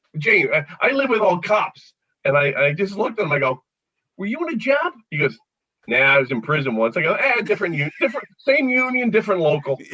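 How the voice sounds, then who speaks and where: An energetic, high-pitched man with a Philadelphia accent, pitch swinging very widely, at a very fast pace. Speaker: comedian. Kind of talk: casual chat. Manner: fast, energetic.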